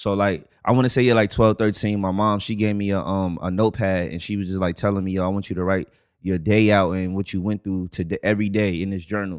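A man with a slight New York accent talks very fast at a fairly low pitch, barely pausing and keeping his intonation fairly even. The recording is very clean, with a silent background. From the Bronx, New York. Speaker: podcast guest. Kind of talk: casual chat.

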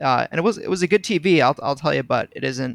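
This man's voice has vocal fry. The recording sounds dry and close, free of echo. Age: 20s. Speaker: gaming community member, college student. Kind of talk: casual chat. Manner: animated.

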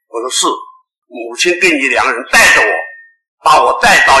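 Room echo is audible on this recording. A man does the talking. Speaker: religious leader giving teachings. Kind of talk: lecture.

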